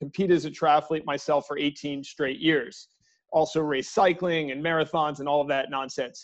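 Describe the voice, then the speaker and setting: Over a quiet background, a man talks at a moderate pace with a fairly high pitch and a plain, everyday voice. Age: 40s. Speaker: sports business executive. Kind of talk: casual interview.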